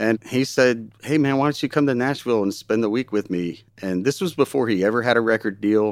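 In a very clean recording with a silent background and a dry, close sound with no echo, a man with an American accent uses a normal speaking voice at a medium pitch, ordinary pitch variation and a fairly quick pace. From US, Baltimore. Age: 50s. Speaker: session guitarist. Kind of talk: casual interview. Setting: studio.

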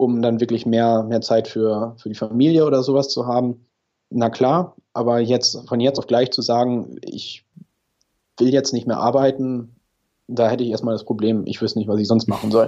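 A man speaks at medium pitch and a moderate pace. His tone is dark and mellow, his intonation monotone and flat. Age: 30s. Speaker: engineer, podcast listener. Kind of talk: interview.

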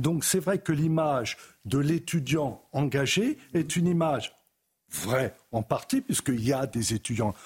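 A man talks at a fairly slow pace in a somewhat breathy voice with lively intonation and very even loudness, with a dry, close sound with no echo. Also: fairly high pitch for a man. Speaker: historian. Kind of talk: TV debate.

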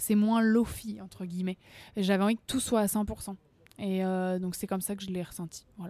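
A woman at medium pitch with a dark, mellow tone, monotone, flat intonation, a moderate pace and long, frequent pauses on a very clean recording with a silent background. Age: 20s. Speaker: singer. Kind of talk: interview. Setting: café. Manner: talkative.

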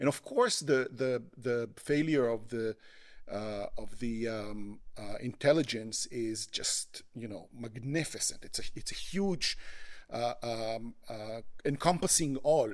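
With an Israeli accent, a man speaks at a very slow pace and medium pitch, showing ordinary pitch variation and big swings in loudness. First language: Hebrew. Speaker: human rights lawyer. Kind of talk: podcast interview. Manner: halting, many fillers and repetitions.

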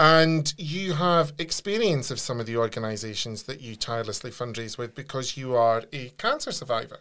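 Over a very clean recording with a silent background, a man speaks at a moderate pace, with hardly any pauses. His pitch is medium, his intonation lively, and he has an ordinary speaking voice. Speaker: podcast host. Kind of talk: casual interview.

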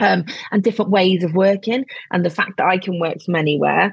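Somewhat breathy and medium in pitch, a woman talks at a fairly quick pace with fairly even intonation, in a dry, close sound with no echo. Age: 40s. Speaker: business strategist and marketing mentor. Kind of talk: casual interview chat.

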